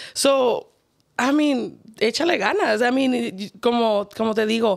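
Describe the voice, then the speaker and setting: A woman with a Mexican accent speaks at a fairly high pitch with ordinary pitch variation. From Mexico. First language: Spanish. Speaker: podcast guest. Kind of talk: casual interview. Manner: code-switching Spanglish.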